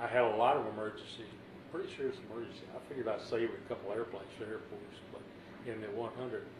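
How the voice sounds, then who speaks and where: Someone with an American accent talks at a very fast pace in a monotone, flat intonation. Noticeable background noise runs throughout. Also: man. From Texas, Bryan/College Station; Texas. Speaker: retired fighter pilot, war veteran. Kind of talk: oral history interview. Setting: at home. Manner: halting. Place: home room.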